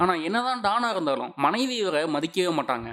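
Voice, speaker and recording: Noticeable background noise sits behind this recording. A man's pitch swings very widely as he talks. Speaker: movie recap narrator. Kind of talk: movie recap narration.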